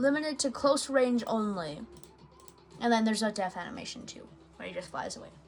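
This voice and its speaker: With music in the background, a fairly high-pitched woman speaks with lively intonation, big swings in loudness and long, frequent pauses. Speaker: gaming YouTuber. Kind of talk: gameplay commentary. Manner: hesitant, many fillers.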